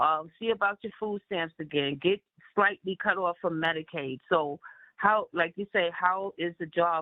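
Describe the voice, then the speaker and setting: With a plain, everyday voice, a woman talks at a fairly low pitch with ordinary pitch variation. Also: fairly slow pace. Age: 60s. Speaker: community meeting participant. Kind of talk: community board meeting Q&A. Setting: phone call. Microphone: phone line.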